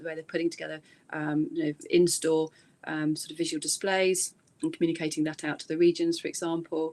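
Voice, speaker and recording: A woman with an English accent, fairly low pitch and a fairly quick pace. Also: quiet background. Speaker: university lecturer. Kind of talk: presentation. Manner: fast; hesitant, many fillers.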